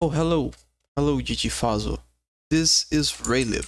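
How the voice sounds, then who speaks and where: A non-native accent on a very clean recording with a silent background. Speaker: game dev streamer. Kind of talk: live coding stream. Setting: live stream. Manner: halting, repeats words.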